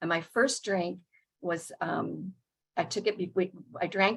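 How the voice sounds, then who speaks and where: A woman with an American accent speaks fairly slowly, her fairly low pitch varying in an ordinary way. Vocal fry runs through her voice. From US South. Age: 70s. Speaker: recovery meeting speaker. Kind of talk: testimony. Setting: video call. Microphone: unstable internet connection.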